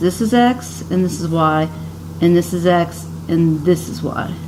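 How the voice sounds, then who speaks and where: Audible room echo and noticeable background noise surround a woman's voice. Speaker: high school math teacher. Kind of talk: recorded lesson for students. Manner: casual, with hesitations.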